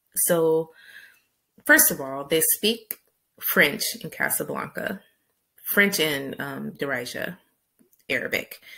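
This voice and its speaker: A woman with an American accent talks at a very slow pace, leaving long, frequent pauses. The background is quiet. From US big city. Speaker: vlogger and travel guide author; vlogger, travel guide author. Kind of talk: casual monologue to camera. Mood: upbeat, smiling. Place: home room. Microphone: webcam.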